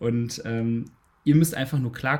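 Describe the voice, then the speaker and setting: A somewhat breathy man talks at a moderate pace, his medium pitch held in fairly even intonation. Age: 20s. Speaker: bisexuality and polyamory activist. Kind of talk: casual interview.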